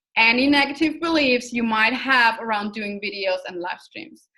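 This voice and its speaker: A woman speaks with high pitch and ordinary pitch variation. Her tone is bright and sharp. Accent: non-native. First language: not English. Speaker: online business coach. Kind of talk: online course lecture. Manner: animated; talks with hands, energetic.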